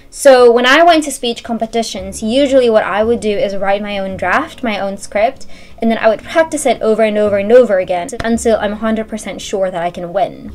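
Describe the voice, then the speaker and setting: Over noticeable background noise, a woman talks at a fairly quick pace with hardly any pauses, her fairly high voice showing ordinary pitch variation. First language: Indonesian. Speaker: university student vlogger. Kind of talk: casual talk to camera.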